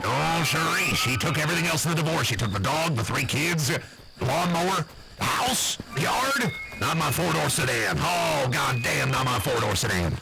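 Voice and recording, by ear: A man does a put-on character voice with vocal fry, a bright, sharp tone, and long, frequent pauses. Audible room echo and faint background music accompany him. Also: fairly high pitch for a man, lively intonation, moderate pace.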